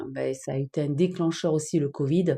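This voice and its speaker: In a southern French accent, a woman speaks at a fairly slow pace with a dark, mellow tone. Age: 50s. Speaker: online business trainer. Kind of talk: live stream chat. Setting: TikTok live stream. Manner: hesitant, many fillers.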